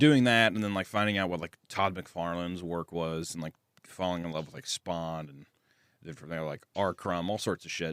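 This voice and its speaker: The recording is very clean, with a silent background and a dry, close sound with no echo. A man with an American accent and a very deep, low pitch talks at a moderate pace, with ordinary pitch variation and big swings in loudness. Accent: Southern US accent, gets stronger when drunk. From US Midwest, Kearney, Missouri near Kansas City. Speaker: animator. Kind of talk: casual chat. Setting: podcast. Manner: halting, many repetitions and fillers.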